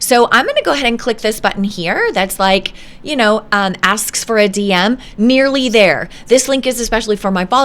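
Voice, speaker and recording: Talking at a fairly quick pace, a woman has a fairly high pitch and ordinary pitch variation, with noticeable background noise behind her. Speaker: online business coach. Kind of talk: screen-share tutorial. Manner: halting, many fillers.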